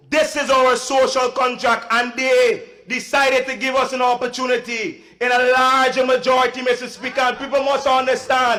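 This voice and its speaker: Projecting a raised voice at a moderate pace with hardly any pauses, a man speaks in an extremely high pitch with a bright, sharp tone. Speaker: member of parliament. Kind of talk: parliamentary speech. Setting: parliament chamber.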